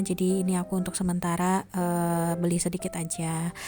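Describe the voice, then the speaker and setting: Soft-spoken woman with a fairly low, monotone, flat voice at a fairly quick pace, with music in the background. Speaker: housewife vlogger. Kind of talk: vlog voice-over narration.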